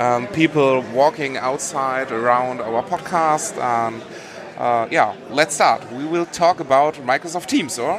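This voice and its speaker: The pace of the speech is fairly slow. Behind it, music plays. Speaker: podcast host. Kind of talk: casual chat. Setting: booth at a conference.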